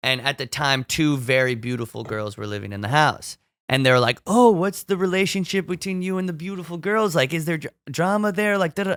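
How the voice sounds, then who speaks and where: A man's fairly high voice in an animated tone, with very wide pitch swings and hardly any pauses, in a very clean recording with a silent background and a dry, close sound with no echo. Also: fairly quick pace. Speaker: fashion designer and artist. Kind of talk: casual chat. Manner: loud.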